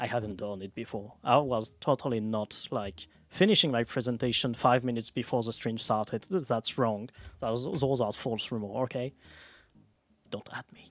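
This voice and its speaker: A man with a French accent at a medium pitch and moderate pace, with ordinary pitch variation and big swings in loudness, on a very clean recording with a silent background. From France. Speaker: streamer. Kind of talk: casual live stream talk. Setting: live stream. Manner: halting.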